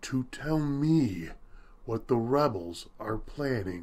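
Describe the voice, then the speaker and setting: The voice is a put-on character voice, delivered at a very slow pace. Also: man, medium pitch for a man. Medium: read story. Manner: serene, grandly benevolent.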